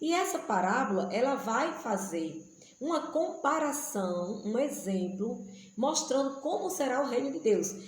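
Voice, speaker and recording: A fairly slow delivery with very wide pitch swings, audible room echo and noticeable background noise. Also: woman, high pitch for a woman. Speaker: missionary and Bible teacher. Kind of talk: Bible study teaching.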